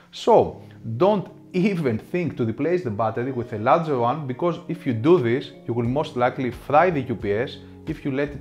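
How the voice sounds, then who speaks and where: A man talks at a moderate pace while faint music plays behind him. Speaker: tech reviewer. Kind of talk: product review commentary. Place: home room.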